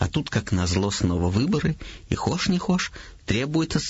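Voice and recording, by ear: Someone is reading aloud in a natural voice. It holds like that from start to finish.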